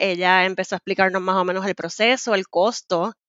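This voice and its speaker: A woman speaks at a moderate pace in a normal speaking voice of medium pitch. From Puerto Rico. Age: 30s. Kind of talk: casual interview.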